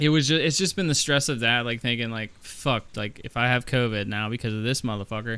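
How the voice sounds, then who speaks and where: A loud man's voice with a bright, sharp tone, ordinary pitch variation, a fairly quick pace and hardly any pauses. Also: medium pitch for a man. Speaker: podcast co-host. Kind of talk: casual chat. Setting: studio.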